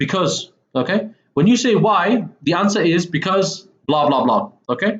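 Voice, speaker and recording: A man with a Mancunian accent and very wide pitch swings. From northern England, Manchester. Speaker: English teacher. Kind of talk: lecture. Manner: casual, frequent okay fillers.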